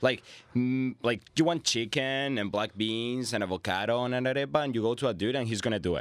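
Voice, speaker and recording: Speaking at a fairly quick pace with a Spanish accent, a man shows ordinary pitch variation. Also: medium pitch for a man. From Venezuela. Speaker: immigrant guest. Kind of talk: casual chat.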